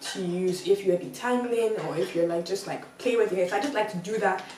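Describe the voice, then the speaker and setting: Noticeable background noise sits under a woman whose tone is animated. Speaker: beauty and lifestyle vlogger. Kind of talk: casual vlog.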